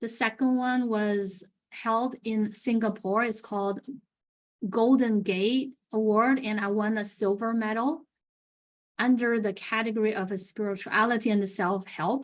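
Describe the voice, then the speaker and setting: Speaking at a fairly slow pace, a woman with a non-native accent keeps her intonation fairly even. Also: fairly high pitch for a woman. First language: not English. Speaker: author and speech contestant. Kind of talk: panel discussion.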